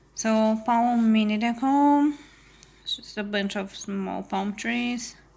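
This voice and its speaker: Medium-pitched female speech showing ordinary pitch variation. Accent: non-native. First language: not English. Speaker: crafting youtuber. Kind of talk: casual haul video chat. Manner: casual with fillers.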